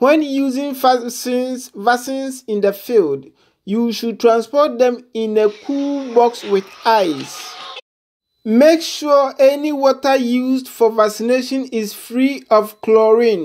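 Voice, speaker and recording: Against a quiet background, a woman speaks very slowly in a high voice with ordinary pitch variation. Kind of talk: tutorial. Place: farm machine.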